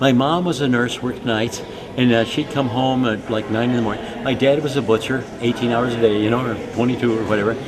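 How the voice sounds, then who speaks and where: Speaking at a fairly quick pace with fairly even intonation, a man at medium pitch is heard with audible room echo and noticeable background noise. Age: 70s. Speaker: student leadership speaker. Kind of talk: conference talk. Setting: conference. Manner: talkative, anecdotal.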